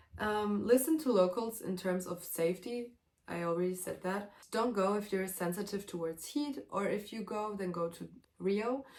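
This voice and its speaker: With a German accent, a woman speaks at a moderate pace and medium pitch, with ordinary pitch variation. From Germany, Serbian family. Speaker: vlogger, exchange student. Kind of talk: casual vlog monologue. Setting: at home, sitting in a room. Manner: animated.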